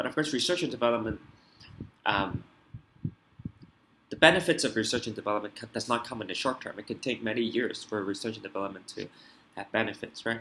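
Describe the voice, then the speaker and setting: A man speaks very fast in a medium-pitched voice with a bright, sharp tone. His loudness swings widely, his pitch varies in an ordinary way, and he leaves long, frequent pauses. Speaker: IB economics tutor. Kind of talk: tutorial.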